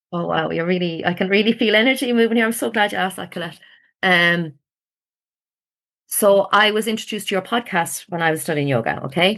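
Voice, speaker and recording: Lively intonation and a fairly quick pace in an Irish accent, over a quiet background. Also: woman, medium pitch for a woman. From rural Ireland. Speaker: ayurveda client. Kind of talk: podcast interview. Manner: animated.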